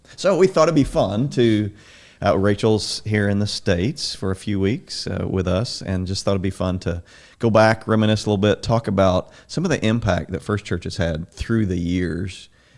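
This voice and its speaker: In an ordinary speaking voice, a man with an American accent talks at a fairly low pitch with ordinary pitch variation, on a very clean recording with a silent background. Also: moderate pace. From Southern Illinois. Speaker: church podcast host. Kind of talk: casual interview chat.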